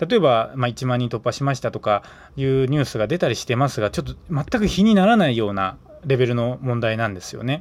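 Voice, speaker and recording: A man with an ordinary speaking voice, medium in pitch, with lively intonation and a fairly quick pace. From Aichi Prefecture, Tokai region, Japan. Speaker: podcast host. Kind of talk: casual morning solo podcast talk.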